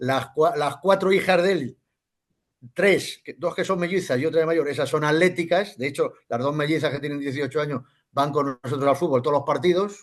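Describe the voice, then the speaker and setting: A man talks at a moderate pace in a fairly high pitch, with ordinary pitch variation. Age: 60s. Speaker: football club member. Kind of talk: casual interview chat. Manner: animated.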